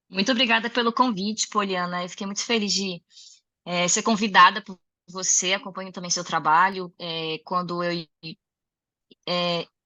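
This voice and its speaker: A woman's medium-pitched voice with ordinary pitch variation at a moderate pace. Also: long, frequent pauses. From Rio Grande do Sul, southern Brazil. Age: 30s. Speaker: music educator and singer. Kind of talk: interview conversation.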